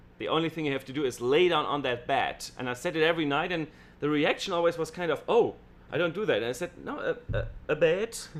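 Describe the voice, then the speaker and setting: Speaking very fast with a German accent, a man uses a high pitch with ordinary variation. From Germany. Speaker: stage illusionist. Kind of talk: casual chat. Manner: halting.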